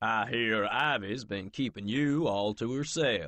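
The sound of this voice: Using a booming, put-on character voice, a man speaks at a fairly slow pace and medium pitch with lively intonation.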